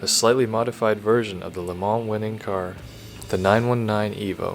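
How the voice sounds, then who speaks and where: Music plays behind a man with a fairly low pitch. He speaks at a moderate pace with monotone, flat intonation. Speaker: car video narrator. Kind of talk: casual comedic fact narration. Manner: sleepy, bored.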